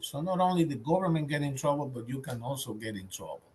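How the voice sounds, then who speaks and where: Lively intonation and a somewhat breathy quality in a man's fairly high voice. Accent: Dominican. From Dominican Republic. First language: Spanish. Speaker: government contracting audit expert. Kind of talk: webinar presentation. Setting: virtual webinar.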